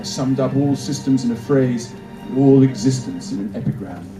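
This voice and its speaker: A man talks at a medium pitch. There is music behind him. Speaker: actor. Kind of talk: literary reading. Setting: outdoors, cemetery, pocket camera microphone.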